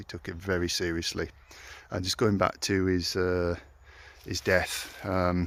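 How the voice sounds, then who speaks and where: A man with a very deep, low voice and a Yorkshire accent at a moderate pace, in a very clean recording with a silent background. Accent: Yorkshire twang. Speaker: local history explorer vlogger. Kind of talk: walking vlog narration. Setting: outdoors at ruins in woods. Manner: casual, halting with fillers.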